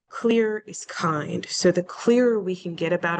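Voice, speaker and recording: A woman talks with ordinary pitch variation. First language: not English. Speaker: alumni panelist, government communications professional. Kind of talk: panel discussion on video call.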